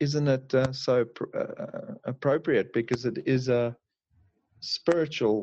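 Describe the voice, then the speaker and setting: Somewhat breathy and medium-pitched, a man speaks at a fairly slow pace with ordinary pitch variation. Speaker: bible study participant. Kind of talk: casual group discussion. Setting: online group call.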